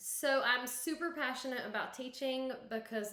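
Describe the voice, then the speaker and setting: Talking at a fairly slow pace with ordinary pitch variation, a woman with a Southern US accent is heard amid audible room echo. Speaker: kindergarten teacher. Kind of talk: conference presentation.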